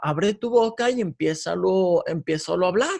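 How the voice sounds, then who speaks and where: With a Guadalajara accent, a man talks at a high pitch, his pitch varying in an ordinary way. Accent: Mexican Spanish, Guadalajara. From Mexico, Guadalajara. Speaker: former worship leader. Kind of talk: casual interview. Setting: video call.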